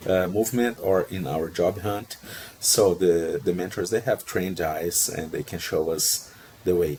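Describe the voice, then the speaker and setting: Noticeable background noise accompanies a man with a Portuguese accent. His pitch is very deep and low, and his pace is fairly slow. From Brazil. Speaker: procurement professional, job seeker. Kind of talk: interview conversation.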